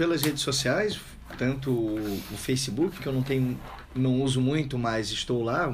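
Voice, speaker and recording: Moderate-paced man's voice at medium pitch, with ordinary pitch variation and audible room echo. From Itajaí, Santa Catarina, southern Brazil. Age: 30s. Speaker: surfer and author. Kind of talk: casual radio interview. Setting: radio studio.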